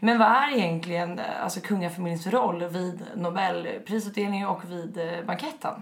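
A woman talks at a moderate pace, her pitch varying in an ordinary way, with audible room echo and noticeable background noise around her. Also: medium pitch for a woman. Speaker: podcast host. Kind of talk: casual chat.

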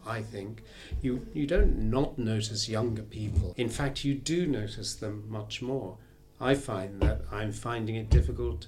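A man's fairly low pitch and lively intonation, with music in the background. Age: 60s. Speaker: therapist. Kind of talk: casual chat.

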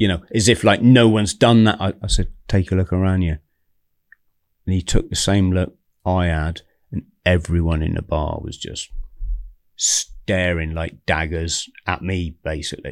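Long, frequent pauses break up a man's fairly slow speech at a very deep, low pitch, with fairly even intonation. The recording is very clean, with a silent background. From southern England. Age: 50s. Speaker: ex-Royal Marines commando. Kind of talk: casual chat.

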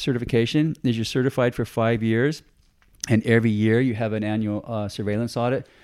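With an American accent, a man talks at a fairly quick pace on a very clean recording with a silent background. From US West Coast, San Diego, California. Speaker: fisheries outreach officer, ex tuna fisherman. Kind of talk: interview. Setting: office. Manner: halting, many repetitions and fillers.

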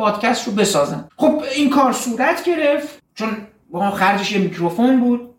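Audible room echo follows a man speaking fairly quickly with lively intonation. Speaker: dentist and film podcaster. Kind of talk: personal narrative.

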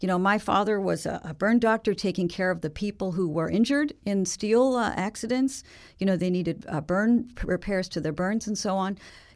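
A woman talks in an ordinary speaking voice at medium pitch and a fairly quick pace. The recording is very clean, with a silent background. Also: ordinary pitch variation. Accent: American. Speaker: telecom policy researcher. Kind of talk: interview. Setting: studio.

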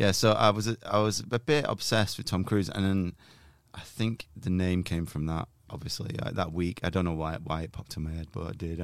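The pitch varies in an ordinary way. The recording is very clean, with a silent background. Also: man. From northern England, near Manchester. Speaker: comedian and meme creator, podcast co-host. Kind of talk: casual interview.

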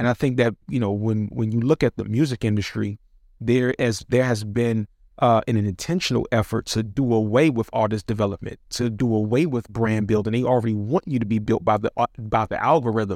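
An ordinary speaking voice, its pitch varying in an ordinary way, at a fairly quick pace. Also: man, medium pitch for a man, dry, close sound with no echo. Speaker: podcast host. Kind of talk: casual interview chat. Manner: filler-heavy, casual.

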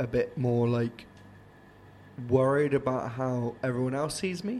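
With a dark, mellow tone and a medium pitch, a man speaks with fairly even intonation. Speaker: band vocalist hosting band podcast. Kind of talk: casual chat. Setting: late night recording after gig.

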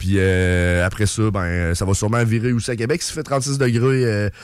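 Fairly slow and fairly low in pitch, a man talks in a normal speaking voice with ordinary pitch variation. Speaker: metal band musician. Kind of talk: casual interview.

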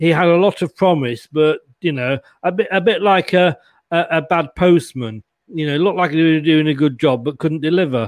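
At a moderate pace, the speaker shows ordinary pitch variation in a dry, close recording with no echo, very clean against a silent background. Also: man. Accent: English. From England. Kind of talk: casual chat.

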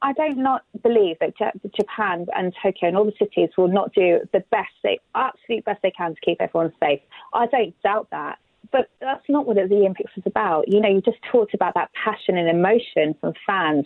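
Lively intonation marks a woman with a British accent and a fairly high pitch, speaking at a fairly quick pace. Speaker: former Olympic athlete. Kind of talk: interview.

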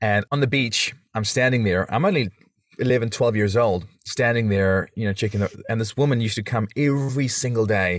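Speaking in a South African accent, a man keeps a fairly quick pace. His pitch is fairly low, with ordinary variation. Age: 30s. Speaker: podcaster and father. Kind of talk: casual interview. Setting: video call.

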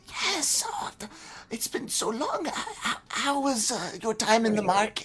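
A female-sounding voice puts on a character voice at a fairly high pitch and a fairly slow pace.

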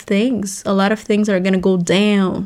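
A woman speaks in a plain, everyday voice at medium pitch. Her pace is fairly slow, her intonation fairly even. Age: 20s. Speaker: podcast host. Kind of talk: casual monologue.

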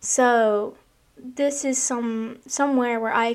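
The recording is very clean, and the background is silent. Intonation remains fairly even throughout. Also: woman. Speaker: podcast host. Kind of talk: personal monologue. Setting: home recording in bedroom. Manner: casual, filler-heavy.

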